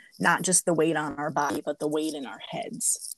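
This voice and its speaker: Fairly quick and monotone, a woman speaks at a very deep, low pitch with flat intonation. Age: 40s. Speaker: podcast host. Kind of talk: casual interview chat; scripted intro narration.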